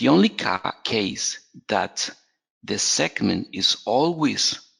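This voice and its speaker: This man has a Spanish accent. He talks very slowly. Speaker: software trainer. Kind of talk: webinar tutorial. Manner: halting, many fillers and repetitions.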